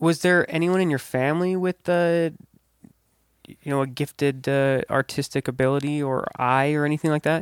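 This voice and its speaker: A man with an American accent and a plain, everyday voice speaks at a moderate pace and fairly high pitch, with fairly even intonation and very even loudness, in a very clean recording with a silent background and a dry, close sound with no echo. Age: 20s. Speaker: podcast host and DJ. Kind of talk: casual chat.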